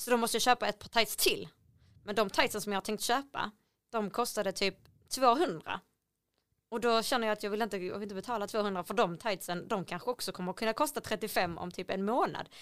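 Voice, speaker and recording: Over a silent background on a very clean recording, a woman talks at a fairly quick pace with fairly high pitch and ordinary pitch variation. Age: 30s. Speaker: podcast co-host. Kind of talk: casual chat.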